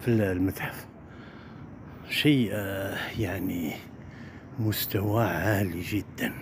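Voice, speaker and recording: Over noticeable background noise, a man speaks with ordinary pitch variation in a dry sound with no echo. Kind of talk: casual vlog commentary. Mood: admiring, enthusiastic. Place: street. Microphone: phone near.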